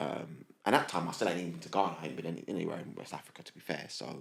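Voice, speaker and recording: The voice rushes along at a very fast pace with noticeable vocal fry. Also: man. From London, England. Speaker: diversity and inclusion professional. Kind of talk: interview storytelling. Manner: animated.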